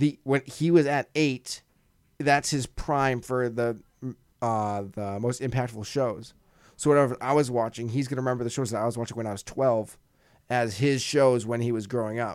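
This is an ordinary speaking voice from a man, medium in pitch. He holds a moderate pace with fairly even intonation. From Massachusetts. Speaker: podcast host, college radio student. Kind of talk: casual chat. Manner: casual, profane, joking.

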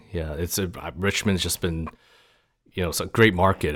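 At a fairly quick pace, a man talks in a very deep, low voice on a very clean recording with a silent background. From Taiwan, raised in US from childhood. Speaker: restaurant owner. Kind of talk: interview. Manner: halting.

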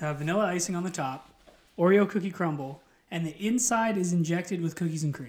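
Very fast, high-pitched male speech with ordinary pitch variation amid noticeable background noise. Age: 20s. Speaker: pro wrestling referee. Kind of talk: casual chat. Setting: studio.

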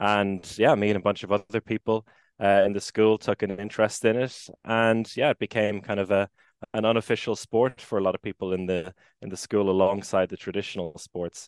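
The speaker has an Irish accent and fairly even intonation. The background is quiet. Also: man, fairly low pitch for a man, fairly quick pace, dry, close sound with no echo. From Ireland, Maynooth (Co. Kildare). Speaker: handball commentator and former player. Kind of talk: casual interview.

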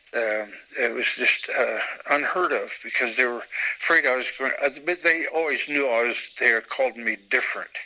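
There is noticeable background noise behind a man's voice. He speaks at a moderate pace with medium pitch and ordinary pitch variation. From US Midwest (northeast Nebraska). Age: 70s. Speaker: artist. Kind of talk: interview.

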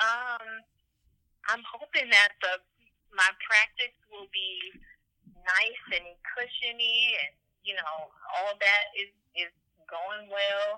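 A woman with an American accent speaks at a medium pitch and a very slow pace with long, frequent pauses. Her loudness swings widely while her pitch varies in an ordinary way. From Detroit, US. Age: 20s. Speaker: attorney and lifestyle blogger. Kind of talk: casual interview. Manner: hesitant, many fillers.

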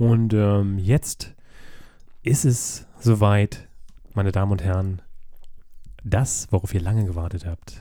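A man speaks at a fairly low pitch with a dark, mellow tone and fairly even intonation. His pace is very slow, broken by long, frequent pauses. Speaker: podcast co-host. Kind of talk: casual chat.

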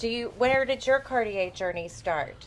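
A high-pitched female voice with a Texas accent. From Texas, Fort Bend County. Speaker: podcast host, pre-owned luxury dealer. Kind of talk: casual interview.

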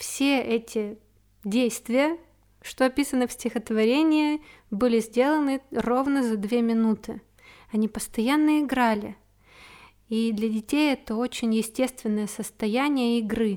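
Over a silent background in a very clean recording, a woman with a fairly high voice speaks with fairly even intonation and long, frequent pauses. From Siberia, small town in Krasnoyarsk Krai. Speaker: podcaster and amateur poet. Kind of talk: personal monologue podcast; reading own poetry aloud. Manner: heartfelt, expressive reading.

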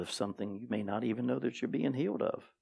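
In a very clean recording with a silent background, a man at a medium pitch shows vocal fry and ordinary pitch variation. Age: 50s. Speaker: pastor. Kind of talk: sermon. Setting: church.

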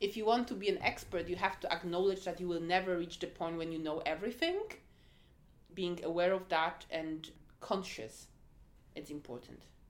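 A woman with a Polish accent speaks in a fairly low voice at a moderate pace. Her pitch varies in an ordinary way, and she pauses long and often. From Poland. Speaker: head of diversity and inclusion. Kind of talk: interview. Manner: hesitant, many fillers.

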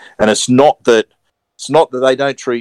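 A man's medium-pitched voice, clear, smooth tone, dry, close sound with no echo

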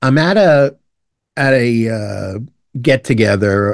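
A man talks in a New York accent. The sound is dry and close with no echo, over a quiet background. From Brooklyn, New York. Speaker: retired fire lieutenant. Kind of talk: interview.

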